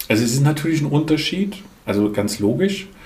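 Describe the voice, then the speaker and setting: A man with a fairly high pitch makes very wide pitch swings, heard with audible room echo and noticeable background noise. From Germany, Lahnstein near Koblenz. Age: 50s. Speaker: management consultant and couples therapist. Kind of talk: podcast interview.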